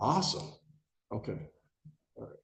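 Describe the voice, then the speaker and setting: A man talks at a very fast pace. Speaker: judge. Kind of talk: jury instructions in court. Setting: courtroom. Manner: loud.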